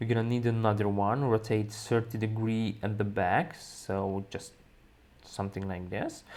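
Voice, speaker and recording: Speaking at a fairly slow pace, a man talks with a Hungarian accent. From Hungary. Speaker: balloon decorating instructor. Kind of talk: software tutorial.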